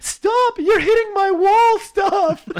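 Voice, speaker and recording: Shouting in a squeaky, put-on character voice, a man hits an extremely high pitch. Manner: laugh-screaming, playfully protesting.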